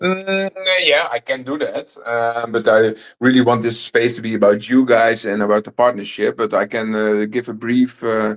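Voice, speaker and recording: A man speaks with a strong Dutch accent. He keeps a moderate pace with ordinary pitch variation. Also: medium pitch for a man. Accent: thick Dutch. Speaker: crypto company host. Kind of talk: casual chat. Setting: online audio space. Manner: many filler hesitations.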